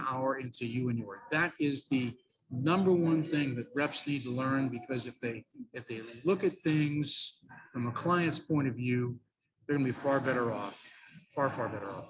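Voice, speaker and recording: He has a normal speaking voice at a medium pitch. The man keeps a moderate pace with ordinary pitch variation. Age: 60s. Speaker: radio sales trainer. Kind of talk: interview.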